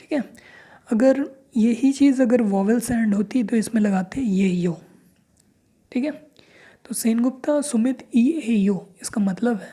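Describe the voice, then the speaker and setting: A man's extremely high voice, dark and mellow in tone, with ordinary pitch variation. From India, Chhattisgarh (Raigarh). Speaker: language teacher. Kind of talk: tutorial. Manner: slow, explanatory.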